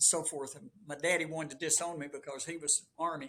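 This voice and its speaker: This man has a Southern US accent. He speaks at a moderate pace with a fairly high pitch. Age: 70s. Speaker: long-distance runner. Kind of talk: casual chat. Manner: animated.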